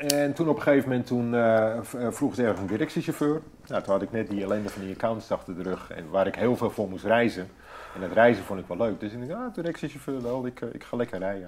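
His delivery is very fast, with lively intonation. The man's voice sits at a medium pitch. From North Holland, Netherlands (Hoorn). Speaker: former commando conscript. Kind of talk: interview. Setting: at home. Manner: halting, many repetitions.

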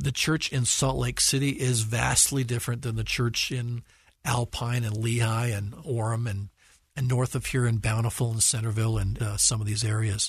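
A somewhat breathy man with an American accent, medium pitch, fairly even intonation, a moderate pace and a quiet background. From Utah, US. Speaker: church leader. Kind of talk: interview.

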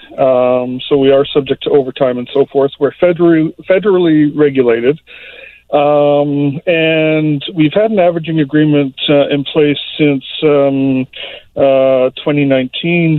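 A fairly high-pitched man speaks at a fairly slow pace with fairly even intonation, against noticeable background noise. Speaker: caller. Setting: phone call. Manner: halting, with many ums.

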